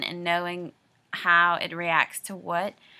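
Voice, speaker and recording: A woman speaks with a Louisiana accent at a fairly slow pace. Her medium-pitched voice has a bright, sharp tone on a very clean recording with a silent background. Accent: Louisiana Southern. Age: 20s. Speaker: video diarist. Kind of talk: personal video diary. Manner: hesitant, many filler words.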